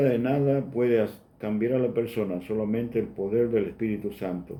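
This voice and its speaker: A man speaks at a fairly slow pace. His tone is dark and mellow, and the room echo is audible. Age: 60s. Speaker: preacher. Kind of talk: sermon.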